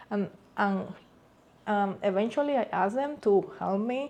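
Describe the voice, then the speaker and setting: The speaker has a Cuban accent and a dark, mellow tone. Pitch varies in an ordinary way. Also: woman. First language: Spanish. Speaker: vlogger sharing immigrant experience. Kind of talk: personal storytelling vlog. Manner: hesitant, with fillers.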